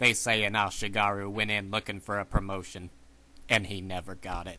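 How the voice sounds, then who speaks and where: Putting on a character voice, a man talks fairly quickly at a fairly low pitch with flat, monotone intonation. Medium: machinima.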